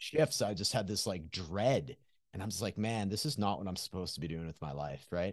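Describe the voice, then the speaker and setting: Lively intonation and a fairly quick pace mark this man's Canadian accent, heard in an ordinary speaking voice. His pitch is fairly low, and the background is quiet. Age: 40s. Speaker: recovery coach. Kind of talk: casual interview conversation.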